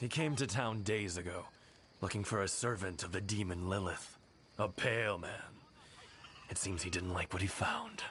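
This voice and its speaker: Putting on a raspy character voice with a fairly low pitch, a man talks at a moderate pace with long, frequent pauses over clear background noise. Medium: video game.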